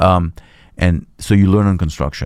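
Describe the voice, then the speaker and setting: Moderate-paced male speech with a dark, mellow tone and ordinary pitch variation. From Israel. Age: 40s. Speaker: real estate developer. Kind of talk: interview.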